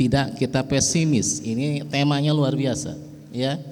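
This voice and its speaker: A man speaks at a fairly slow pace while noticeable background noise carries on behind him. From West Java, Betawi parents. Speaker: religious speaker representing a pesantren family. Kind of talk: religious speech at an organisation inauguration.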